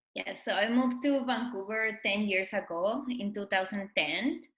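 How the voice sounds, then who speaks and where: A woman with a Spanish accent at a very slow pace. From Mexico. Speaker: blogger and influencer. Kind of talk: interview.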